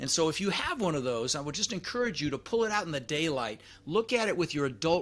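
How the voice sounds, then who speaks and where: A man talks very fast with lively intonation while noticeable noise runs in the background. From Netherlands, moved to US at 6. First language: Dutch. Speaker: real estate investor and trainer. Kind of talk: podcast interview. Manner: animated.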